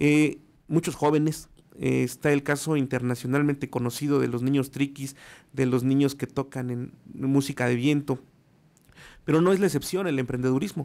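Delivery moves at a moderate pace. Intonation holds fairly even throughout. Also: man, fairly high pitch for a man. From Mexico City. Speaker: radio commentator on small business. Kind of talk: radio segment report. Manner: hesitant with fillers. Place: studio. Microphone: studio mic.

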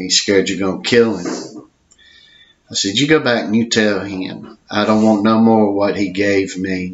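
At a moderate pace, a man talks with fairly even intonation and a fairly low pitch. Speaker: storyteller. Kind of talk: personal story monologue. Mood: reflective, earnest. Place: home room. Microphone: webcam.

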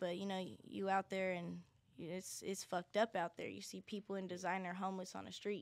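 A woman speaks in an unremarkable speaking voice. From Denver, Colorado. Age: young. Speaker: singer and designer. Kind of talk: casual chat.

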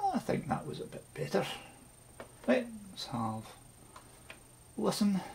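A man with a Scottish accent, high-pitched with vocal fry and a slightly mellow tone, big pitch swings, at a fairly slow pace.

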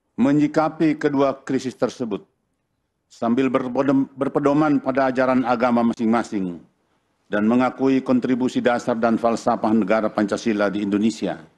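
A man talks at a moderate pace with medium pitch and ordinary pitch variation. His loudness stays very even throughout. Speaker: religious leader. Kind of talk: reading aloud a formal declaration. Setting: stage with audience at a ceremony. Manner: formal. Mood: solemn, formal. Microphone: podium.

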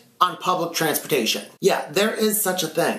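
With music in the background and audible room echo, a man delivers a raised, projected voice at a moderate pace. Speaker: vlogger. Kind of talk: casual vlog storytelling. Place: home room.

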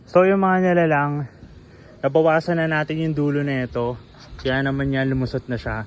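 A man's fairly high voice at a moderate pace, ordinary pitch variation, a plain, everyday voice. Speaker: vlogger. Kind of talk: tutorial. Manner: casual.

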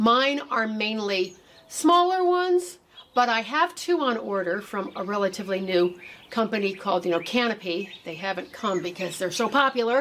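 A woman talks at a moderate pace. Her pitch swings very widely. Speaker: gardening channel host. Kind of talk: tutorial. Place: garden. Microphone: camera far.

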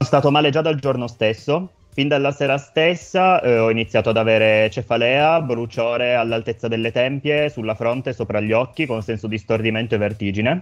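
Faint music plays behind a man of medium pitch who talks at a fairly quick pace with ordinary pitch variation. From Italy, Turin; Italy. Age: 20s. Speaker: healthcare worker; guest. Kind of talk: testimony. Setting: remote link into radio studio. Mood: calm, serious. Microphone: video call.

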